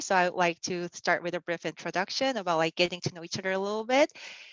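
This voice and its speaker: Speech with lively intonation, delivered in a Korean accent. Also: woman. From South Korea. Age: 30s. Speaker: church youth mentor. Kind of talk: casual online youth session talk. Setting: video call. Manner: hesitant, many fillers.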